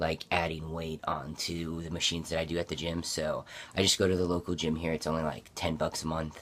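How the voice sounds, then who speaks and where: A man speaks at a fairly quick pace with a very deep, low pitch. His intonation is monotone and flat. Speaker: vlogger. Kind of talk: casual personal vlog. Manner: hesitant, many fillers.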